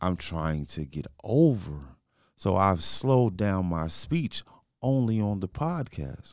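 A man with an American accent talks at a very slow pace, his pitch fairly low. His voice moves in very wide pitch swings over a very clean recording with a silent background. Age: 40s. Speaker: podcast host. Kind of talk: casual chat.

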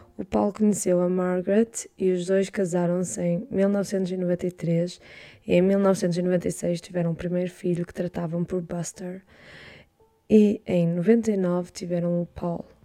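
A woman speaks at a very slow pace in a fairly low voice. Her intonation stays fairly even, her loudness swings widely, and music plays in the background. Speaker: true crime podcaster. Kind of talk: podcast narration.

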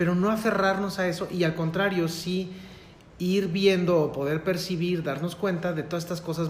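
Amid noticeable background noise and audible room echo, a man with a Mexican accent talks fairly quickly at a high pitch. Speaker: licensed professional guest. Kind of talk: casual chat.

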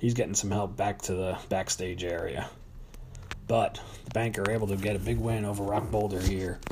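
Noticeable background noise runs under this recording. A man talks at a fairly low pitch, with ordinary pitch variation. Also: moderate pace. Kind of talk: live wrestling commentary, play-by-play of a staged match with ring announcements. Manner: announcer-style showmanship, hyping storylines and rivalries.

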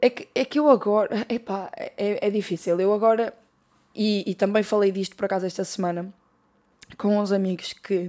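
The woman's voice sits at medium pitch with a dark, mellow tone. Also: ordinary pitch variation, moderate pace. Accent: European Portuguese. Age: 20s. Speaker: podcast host. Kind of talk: casual solo monologue.

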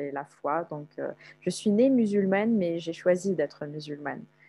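A woman's voice, dark and mellow in tone. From Algeria, Algiers. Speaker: content analyst, traveler. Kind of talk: casual interview.

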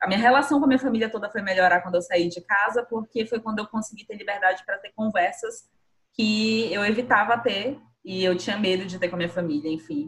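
A woman at a medium pitch, very fast, with ordinary pitch variation. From Brazil, Boa Vista, Roraima. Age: 20s. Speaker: podcast co-host, designer. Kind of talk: casual chat.

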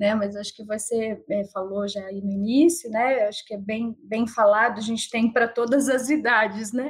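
A woman with a fairly high, somewhat breathy voice speaks at a moderate pace with fairly even intonation and hardly any pauses. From Sorocaba, interior of São Paulo, Brazil. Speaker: psychologist. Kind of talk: casual interview.

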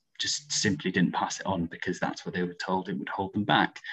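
Speaking with a Welsh accent, a man has a fairly low pitch. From Wales, Aberystwyth. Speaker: student union coordinator. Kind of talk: podcast interview.

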